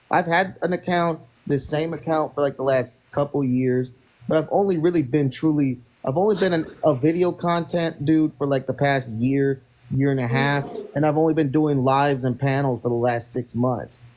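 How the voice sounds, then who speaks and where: A man's fairly high voice at a moderate pace, with very even loudness and ordinary pitch variation, over noticeable background noise. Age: 30s. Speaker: social media live streamer. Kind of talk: casual chat. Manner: halting.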